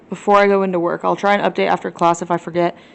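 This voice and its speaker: A woman is speaking. She has a slight Southern US accent. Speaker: vlogger. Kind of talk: casual vlog. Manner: casual, filler-heavy.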